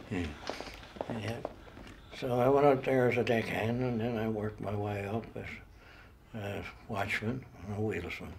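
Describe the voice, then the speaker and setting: In a Newfoundland accent, the speaker keeps a moderate pace and fairly even intonation with long, frequent pauses, amid noticeable background noise and audible room echo. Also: man, fairly low pitch for a man. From Newfoundland, Port Rexton. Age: 80s+. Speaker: retired railway worker. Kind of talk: interview testimony.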